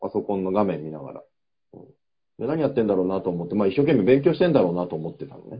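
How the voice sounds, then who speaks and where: Delivered at a very fast pace, the speech shows very wide pitch swings and big swings in loudness. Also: man, fairly low pitch for a man. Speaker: podcast co-host, office worker. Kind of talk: casual chat.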